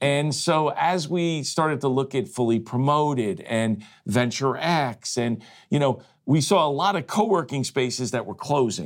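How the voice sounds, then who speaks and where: A man speaks at a moderate pace with fairly high pitch and ordinary pitch variation, an unremarkable speaking voice. The recording is very clean, with a silent background. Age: 60s. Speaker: franchise company executive. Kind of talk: casual interview. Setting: studio.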